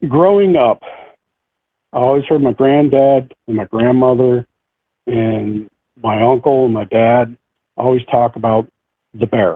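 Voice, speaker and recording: A man with an American accent speaks at a fairly slow pace and a medium pitch, his pitch varying in an ordinary way and his speech broken by long, frequent pauses. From central New York. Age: 60s. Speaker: eyewitness sharing encounter. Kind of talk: interview testimony.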